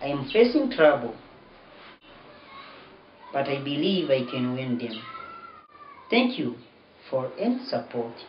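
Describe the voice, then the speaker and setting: With light background noise and audible room echo, a man speaks at a fairly slow pace, leaving long, frequent pauses. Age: 20s. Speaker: university student. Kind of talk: appeal for donations read to camera. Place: home room. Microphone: camera far.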